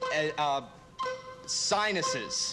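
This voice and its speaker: A man delivers his words at a very slow pace while clear music plays behind him. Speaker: game show contestant giving clues. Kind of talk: game show clue-giving. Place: stage. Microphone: podium.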